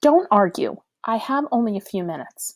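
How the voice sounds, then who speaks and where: At a moderate pace, a woman puts on a character voice with a fairly high pitch. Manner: authoritative.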